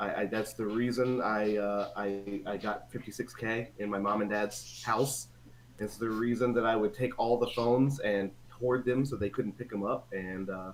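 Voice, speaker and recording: A man's fairly low voice at a moderate pace with fairly even intonation, over music in the background. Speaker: gamer friend of the host. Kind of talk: casual chat.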